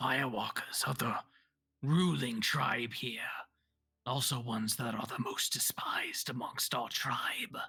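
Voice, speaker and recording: Raspy and low-to-middle in pitch, a put-on character voice speaks at a fairly slow pace. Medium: actual play. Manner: guarded, formal.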